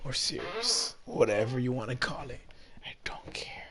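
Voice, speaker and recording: A man's moderate pace comes across beneath noticeable background noise. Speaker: gaming streamer. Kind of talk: live gameplay commentary. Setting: live stream. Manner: halting.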